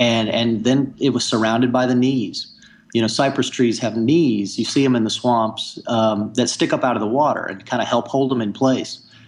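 A man talks in an ordinary speaking voice at a moderate pace. His pitch is medium and his intonation fairly even. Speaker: environmental journalist and conservationist. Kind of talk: interview.

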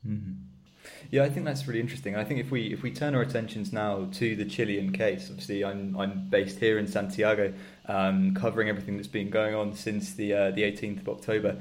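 A man with a British accent talks at a very fast pace, his pitch fairly low with ordinary variation. Audible room echo and noticeable background noise surround him. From UK. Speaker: podcast host. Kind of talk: interview. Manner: hesitant, repeats words.

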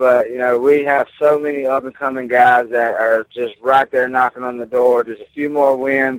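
The speaker talks at a moderate pace with a Southern US accent. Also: man, dry, close sound with no echo. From Mississippi, US South. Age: 20s. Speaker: professional MMA fighter. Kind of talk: interview.

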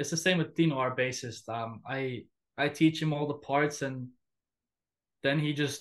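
The background is quiet as a man speaks at a moderate pace. His intonation is monotone and flat. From Finland, also lived in Russia. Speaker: death metal musician. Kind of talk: casual interview.

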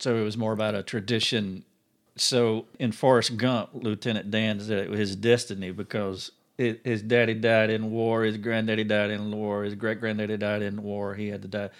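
This man speaks at a moderate pace in a fairly low, monotone voice with flat intonation. The recording is very clean, with a silent background. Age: 50s. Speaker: podcast host. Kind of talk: interview; scripted narration. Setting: office.

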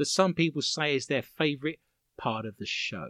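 Against a quiet background, a man with an Essex accent talks at a moderate pace in a fairly high pitch with very wide pitch swings, the sound dry and close with no echo. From Romford, Essex, England. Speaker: paranormal quiz show host. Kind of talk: comedic quiz show hosting.

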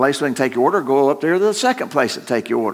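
In a very clean recording with a silent background, a man speaks with lively intonation. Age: old. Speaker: pastor. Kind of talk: sermon. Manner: halting.

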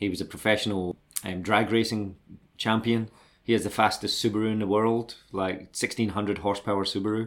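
On a very clean recording with a silent background, a man with a Scottish accent speaks at a fairly quick pace in a fairly low pitch and a monotone, flat intonation. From Scotland, Glasgow and Dundee. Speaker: BMX brand manager, former pro BMX rider. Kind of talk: interview, life story.

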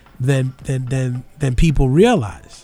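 At a fairly slow pace, a man with a fairly high, somewhat breathy voice speaks with ordinary pitch variation. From New York City, the Bronx. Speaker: radio host. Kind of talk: political talk radio commentary. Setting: college radio studio.

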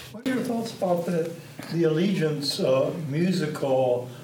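A man's fairly high-pitched voice at a fairly slow pace with ordinary pitch variation, plus audible room echo and noticeable background noise. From San Francisco. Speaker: audience member. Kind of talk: audience question.

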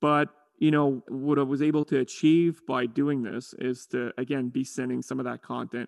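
A man with a plain, everyday voice, fairly even intonation and a moderate pace, in a dry, close sound with no echo. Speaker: university professor. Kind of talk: interview. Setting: recording from home.

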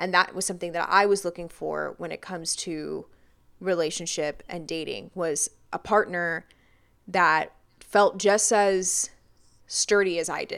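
In a very clean recording with a silent background, a woman with a plain, everyday voice talks at a fairly slow pace in a fairly low pitch, her intonation fairly even but her loudness swinging widely. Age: 20s. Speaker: podcast co-host. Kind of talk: casual chat.

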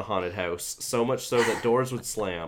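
With a plain, everyday voice, a man speaks at a moderate pace in a medium pitch. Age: 30s. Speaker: podcast host. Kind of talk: casual chat.

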